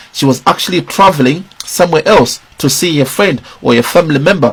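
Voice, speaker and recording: Speaking with a Zimbabwean accent, a man uses lively intonation and a fairly high pitch at a moderate pace. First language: Shona. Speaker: political commentator. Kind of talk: video commentary.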